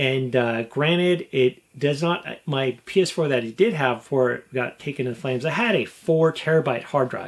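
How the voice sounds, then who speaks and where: With an American accent, a man with fairly high pitch and ordinary pitch variation talks at a moderate pace with hardly any pauses. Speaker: gaming YouTuber. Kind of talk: casual vlog talk to camera. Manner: animated.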